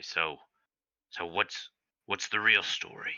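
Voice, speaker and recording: In a put-on character voice, a man speaks raspily at a fairly slow pace with a very deep, low pitch. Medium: actual play.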